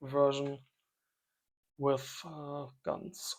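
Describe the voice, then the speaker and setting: A man's fairly high-pitched voice with a non-native accent. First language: not English. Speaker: strategy game let's player. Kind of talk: gameplay commentary. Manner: thinking aloud, hesitant.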